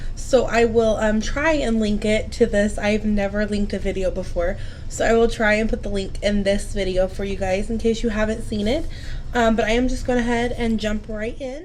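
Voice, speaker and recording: Fairly high woman's voice at a moderate pace, fairly even in intonation, with audible room echo and noticeable background noise. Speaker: vlogger sharing grief journey. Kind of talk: reading aloud with commentary. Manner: breathy.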